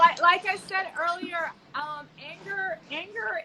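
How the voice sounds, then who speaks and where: A woman speaks in a raised, projected voice at a fairly slow pace. Noticeable background noise runs underneath. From Jamaica. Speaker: fashion influencer hosting a live panel. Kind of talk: live online panel discussion.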